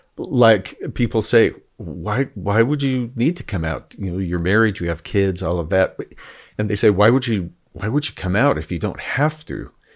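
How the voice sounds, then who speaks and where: A man talks in a normal speaking voice, fairly low in pitch, at a moderate pace. His intonation is lively, and the recording is very clean with a silent background. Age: 60s. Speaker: podcast guest, podcast host. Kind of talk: casual chat.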